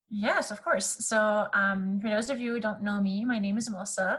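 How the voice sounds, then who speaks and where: A woman's somewhat breathy, fairly high voice with fairly even intonation. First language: French. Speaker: graphic design entrepreneur. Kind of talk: podcast interview.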